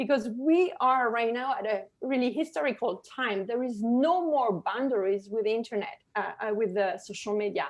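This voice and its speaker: A woman's fairly high voice at a moderate pace, with a slight French accent, lively intonation and hardly any pauses. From France. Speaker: digital marketing consultant. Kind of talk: webinar presentation. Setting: webinar video call. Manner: animated, many filler words.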